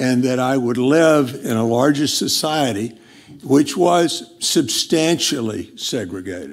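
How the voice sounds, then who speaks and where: Speaking very slowly with an American accent, a man uses a medium pitch and ordinary pitch variation over noticeable background noise. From US South, Montgomery, Alabama. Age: 70s. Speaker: speaker at a community finance forum. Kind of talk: personal speech to an audience. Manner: halting, many fillers.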